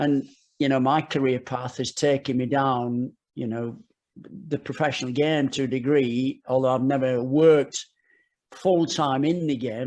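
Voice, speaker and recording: A man with an English accent speaks at a moderate pace and medium pitch, his intonation fairly even against a quiet background. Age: 60s. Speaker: football coach. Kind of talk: podcast interview. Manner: halting, with frequent repetitions.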